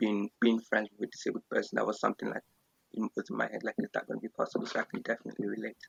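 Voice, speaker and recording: Speaking at a very fast pace, a man talks with a strong Nigerian accent. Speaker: podcast co-host. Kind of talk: casual chat. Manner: halting, many fillers.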